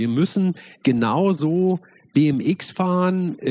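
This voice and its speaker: This man's tone is dark and mellow, and his pitch shifts in a normal way. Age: 40s. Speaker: co-founder of an esports nonprofit. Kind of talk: interview.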